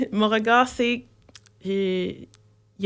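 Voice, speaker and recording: A woman speaks at a very slow pace with fairly even intonation. She has a slight Quebec accent. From Quebec, Saint-Hubert (Longueuil). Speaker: multidisciplinary artist. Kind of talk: radio interview. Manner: halting, many hesitations and repetitions.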